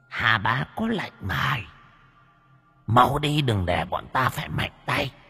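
A man in a put-on character voice, raspy and shrill at medium pitch, at a fairly slow pace with long, frequent pauses and music in the background. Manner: creepy, menacing.

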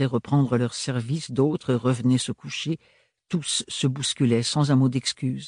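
A natural reading voice keeps fairly even intonation over a quiet background.

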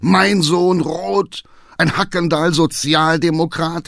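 A man puts on a character voice with a fairly high pitch, a fairly bright tone and vocal fry. He speaks at a slow pace with fairly even intonation.

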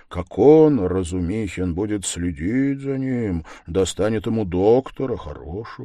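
The voice does plain reading aloud with lively intonation.

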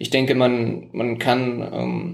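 A man's voice at a medium pitch. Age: 20s. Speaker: mayoral candidate. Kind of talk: interview. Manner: hesitant, many fillers.

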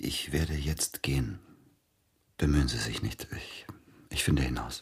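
A man uses a put-on character voice at an extremely low pitch, with a husky, rough edge and vocal fry. His pitch varies in an ordinary way, and he talks at a fairly slow pace.

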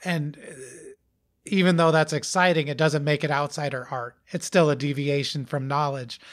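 Heard on a very clean recording with a silent background, a man with a plain, everyday voice speaks at a moderate pace, fairly high in pitch, with fairly even intonation and big swings in loudness. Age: 40s. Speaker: musician. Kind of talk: casual chat. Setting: recorded at a house.

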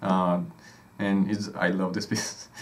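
This man speaks with a Spanish accent. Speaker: music podcast co-host. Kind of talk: casual educational chat.

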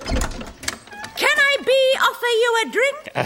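Against clear background noise, a female-sounding put-on character voice speaks at a very slow pace with an extremely high pitch. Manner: irritating, cackling.

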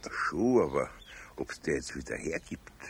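A put-on character voice with big pitch swings at a fairly slow pace. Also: man, extremely low pitch for a man.

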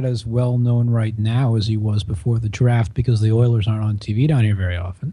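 Somewhat breathy male voice with a dark, mellow tone, an American accent and hardly any pauses. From Washington DC area, US. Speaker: sports journalist. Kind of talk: podcast panel discussion. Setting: at the office.

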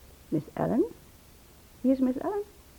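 Using a put-on character voice, a woman speaks high with very wide pitch swings at a moderate pace. Her voice has a husky, rough edge and vocal fry.

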